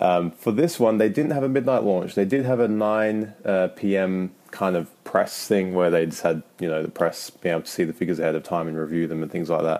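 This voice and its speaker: With a British accent, a man speaks at a fairly quick pace in a very deep, low pitch. His tone is dark and mellow, and his pitch varies in an ordinary way. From UK. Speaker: listener sending voice message. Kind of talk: casual voice message.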